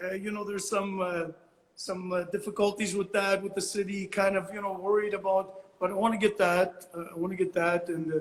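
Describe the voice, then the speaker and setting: Speaking at a fairly quick pace, a man holds a high pitch in a monotone, flat delivery. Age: 60s. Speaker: abstract painter. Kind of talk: interview. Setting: Instagram live call. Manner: halting, many fillers and repeats.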